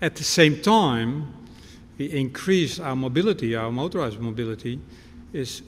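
Lively intonation at a moderate pace, over light background noise. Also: man. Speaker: visiting lecturer. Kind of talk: lecture. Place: hall. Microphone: podium.

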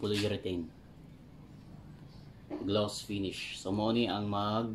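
Slowly and with little pitch movement, a man speaks at a fairly low pitch.

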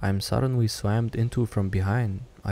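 What you hear is plain reading aloud.

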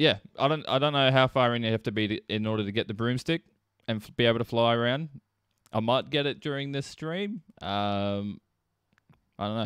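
This man's pitch shows ordinary variation. His pace is fairly quick. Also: quiet background, dry sound with no echo. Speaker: livestreamer. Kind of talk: casual livestream chat. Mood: relaxed, joking, laughing. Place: home room. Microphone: studio mic.

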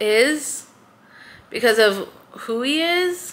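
The woman's voice shows ordinary pitch variation. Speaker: book vlogger. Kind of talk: casual vlog chat. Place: home room.

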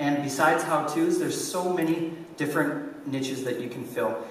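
Audible room echo and light background noise surround a man whose pitch is fairly high. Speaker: conference speaker, online entrepreneur and YouTuber. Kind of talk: conference talk. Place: stage.

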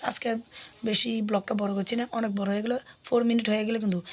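A woman's fairly high voice in a monotone, flat intonation, with noticeable background noise. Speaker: family vlogger. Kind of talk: casual vlog talk.

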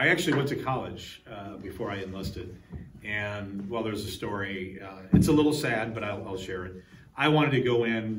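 Over light background noise, a man with a fairly low pitch and ordinary pitch variation speaks at a moderate pace, his loudness swinging widely. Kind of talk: interview answer. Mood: reflective, slightly emotional. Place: hall. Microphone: lapel.

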